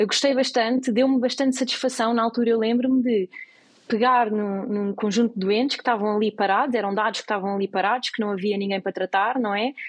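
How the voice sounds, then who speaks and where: A woman speaks very fast with a European Portuguese accent. Her intonation is fairly even. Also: fairly high pitch for a woman. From Portugal. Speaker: medical researcher. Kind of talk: interview.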